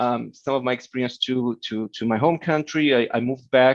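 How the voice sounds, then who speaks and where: A man with a Portuguese accent, medium pitch and ordinary pitch variation, in a dry, close sound with no echo over a quiet background. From Brazil, Rio de Janeiro. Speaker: keynote speaker, tech executive. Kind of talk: keynote talk. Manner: fast.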